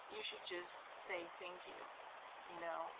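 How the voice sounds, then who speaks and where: The speaker is a woman. Noticeable background noise can be heard behind her. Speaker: pagan vlogger. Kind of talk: casual talk to camera.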